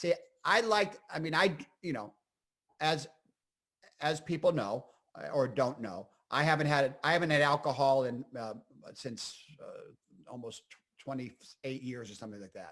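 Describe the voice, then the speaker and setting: A man with a northeastern Pennsylvania accent talks at a moderate pace in a fairly high pitch, with lively intonation. His loudness swings widely, and he leaves long, frequent pauses. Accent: northeastern Pennsylvania American. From northeastern Pennsylvania (Scranton). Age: 60s. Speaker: comedian and actor. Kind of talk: casual interview chat. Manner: animated.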